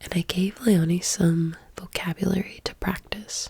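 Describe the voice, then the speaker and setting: The speaker is soft-spoken and talks at a fairly slow pace. Noticeable background noise sits behind the voice. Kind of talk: ASMR story reading with casual commentary. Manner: soft-spoken, quiet.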